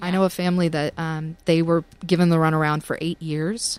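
A woman speaks with a Southern US accent. The sound is dry and close, with no echo. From US South, Tennessee. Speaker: attorney and blogger. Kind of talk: casual chat.

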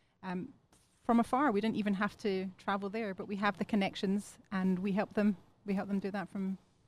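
At a fairly quick pace, a woman with a medium pitch speaks in a somewhat breathy, monotone, flat voice. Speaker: relocation consultant. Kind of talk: interview.

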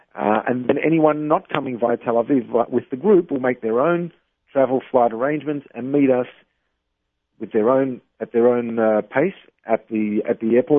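A man speaks with an Australian accent at a medium pitch. His pitch varies in an ordinary way. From Australia, Melbourne. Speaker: travel business owner. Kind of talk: interview. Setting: phone call.

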